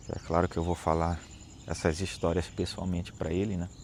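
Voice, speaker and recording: A man is speaking. His pitch is very deep and low. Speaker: lay preacher. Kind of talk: devotional reflection. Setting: outdoors. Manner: slow.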